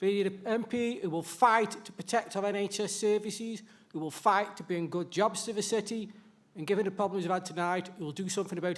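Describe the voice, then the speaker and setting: In a Staffordshire accent, a man speaks at a fairly quick pace, his pitch high and his intonation fairly even. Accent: Stoke-on-Trent (Potteries). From Stoke-on-Trent, England. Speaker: election candidate. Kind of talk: campaign speech. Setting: stage with audience.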